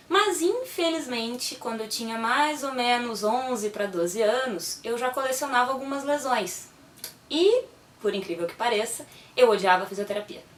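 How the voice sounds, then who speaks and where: A woman's high-pitched voice at a moderate pace, with lively intonation over noticeable background noise. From Brazil, moved around (Pará, Rio, Fortaleza, Minas). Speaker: physiotherapist. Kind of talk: personal talk to camera. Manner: casual, lively storytelling.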